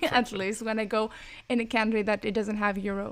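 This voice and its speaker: A woman's fairly high voice moves along at a fairly quick pace. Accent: Greek. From Greece. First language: Greek. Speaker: podcast co-host. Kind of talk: casual chat.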